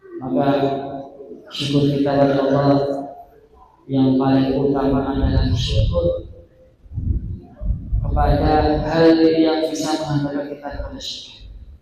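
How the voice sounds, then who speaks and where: A man talks at a fairly slow pace, leaving long, frequent pauses. Audible room echo and noticeable background noise surround his voice. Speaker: Islamic preacher. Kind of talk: sermon. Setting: mosque. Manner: soft-spoken. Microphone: too quiet at first.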